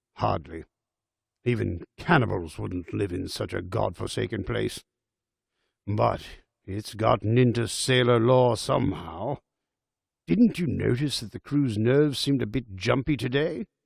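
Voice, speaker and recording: A put-on character voice from a man, raspy and medium-pitched, at a moderate pace with lively intonation and long, frequent pauses. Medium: read story.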